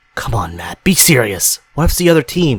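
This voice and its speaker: Putting on a growling, shaky character voice, a man talks fairly quickly at a medium pitch with very wide pitch swings and big swings in loudness, the sound dry and close with no echo. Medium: read story. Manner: jumpy, then growling.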